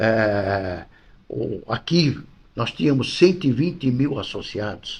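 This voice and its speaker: A man speaks at a very slow pace, his voice somewhat breathy. His intonation is lively. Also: medium pitch for a man. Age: 80s+. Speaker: football club vice-president. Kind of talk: interview. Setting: club office.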